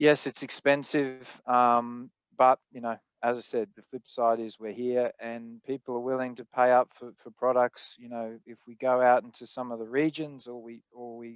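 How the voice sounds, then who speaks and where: In an Australian accent, a man at medium pitch speaks at a moderate pace with monotone, flat intonation, recorded dry and close with no echo against a quiet background. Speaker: spirits producer, panelist. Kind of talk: panel discussion.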